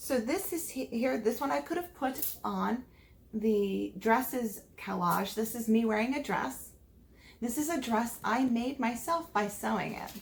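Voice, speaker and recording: A woman with an American accent talks at a fairly slow pace with lively intonation. There is noticeable background noise behind her. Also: fairly high pitch for a woman. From United States. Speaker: teacher. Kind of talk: virtual classroom lesson for foreign students.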